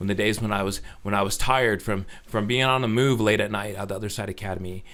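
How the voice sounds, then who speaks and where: Someone talks at a very fast pace with an American accent. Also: man. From Utah, Orem. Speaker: recovering addict telling his story. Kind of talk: casual interview chat.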